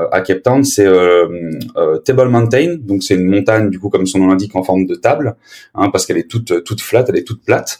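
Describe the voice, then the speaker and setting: Moving at a fairly quick pace, an ordinary speaking voice shows ordinary pitch variation. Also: man, fairly low pitch for a man. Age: 20s. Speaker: podcaster and sales manager. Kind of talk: casual chat.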